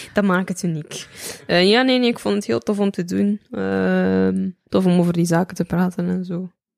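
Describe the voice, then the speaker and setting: Moderately paced female speech, dry and close-sounding with no echo. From Belgium, West Flanders. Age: 20s. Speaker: rapper. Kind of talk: casual chat.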